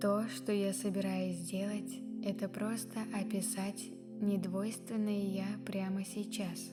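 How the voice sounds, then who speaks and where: Soft-spoken and at a very slow pace, a woman talks at a medium pitch with fairly even intonation and very even loudness, music playing in the background. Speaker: ASMR / meditation reader. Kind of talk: guided meditation reading. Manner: quiet, soft-spoken.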